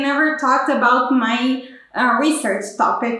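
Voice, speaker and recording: A woman with a strong Brazilian accent speaks at a fairly slow pace in a high pitch with ordinary variation. Noticeable background noise and audible room echo surround her. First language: Portuguese. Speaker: PhD student. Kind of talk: explainer vlog. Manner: halting, with fillers.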